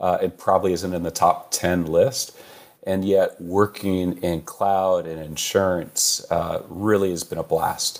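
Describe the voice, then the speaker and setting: A man with a Californian accent at a fairly slow pace. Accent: American (Californian). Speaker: chief information security officer. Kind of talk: interview. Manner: hesitant, many fillers.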